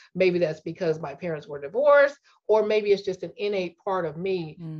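A woman talks at a moderate pace in a fairly low pitch. It is a normal speaking voice. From US Midwest, St. Louis. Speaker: engineer. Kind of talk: interview conversation.

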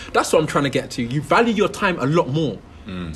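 A man speaks at a fairly quick pace and fairly high pitch. Noticeable noise sits in the background. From London. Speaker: reality TV contestant and entrepreneur. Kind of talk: casual interview.

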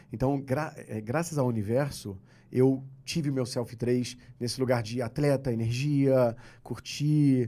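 Dark, mellow tone from a man at medium pitch, fairly even intonation, very slow pace. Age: 50s. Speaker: entrepreneur and methodology creator. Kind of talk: casual chat.

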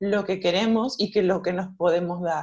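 With an unremarkable speaking voice, a woman talks at a moderate pace with ordinary pitch variation. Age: 40s. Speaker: self-love coach and yoga teacher. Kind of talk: interview.

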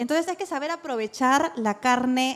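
High-pitched and lively in intonation, a woman speaks at a fairly slow pace over noticeable background noise. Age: 30s. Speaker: podcast co-host. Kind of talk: live podcast before audience, casual chat. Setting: live recording with audience.

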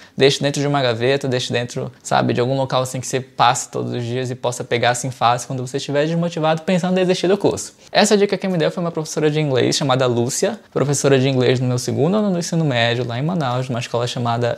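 A man speaks at a very fast pace and medium pitch. He leaves hardly any pauses. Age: 30s. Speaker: English teacher and YouTuber. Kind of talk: tutorial. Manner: casual, conversational.

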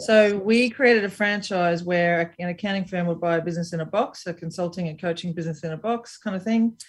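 A woman with an Australian accent talks at a very fast pace with hardly any pauses. Her voice is fairly low and somewhat breathy, with ordinary pitch variation. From Brisbane, Queensland, Australia. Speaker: business strategist and entrepreneur. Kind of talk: interview.

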